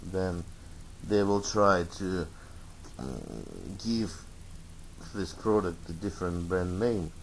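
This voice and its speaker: In a Russian accent, a man with a very deep, low pitch and ordinary pitch variation speaks at a very slow pace with long, frequent pauses and audible room echo. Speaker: tech reviewer. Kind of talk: product review. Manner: halting, many fillers.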